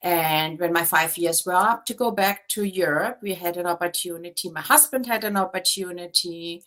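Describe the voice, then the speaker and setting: With a German accent, a woman speaks in a bright, sharp tone with ordinary pitch variation. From Germany. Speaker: real estate agent. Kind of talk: interview.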